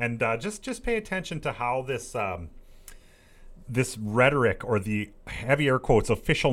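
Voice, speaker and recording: The clip features an ordinary speaking voice at a fairly slow pace. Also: man. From Saskatchewan, Canada. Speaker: political talk radio host. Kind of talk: reading news articles aloud with commentary.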